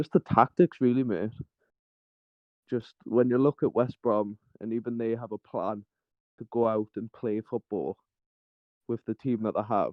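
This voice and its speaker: A man with a Geordie accent, medium-pitched, at a moderate pace with fairly even intonation and long, frequent pauses. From Newcastle, northeast England. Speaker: caller. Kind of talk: casual chat.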